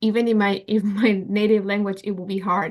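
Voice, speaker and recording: A woman speaks with a Spanish accent. Her intonation is monotone and flat. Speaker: work group member. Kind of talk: online meeting discussion. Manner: halting.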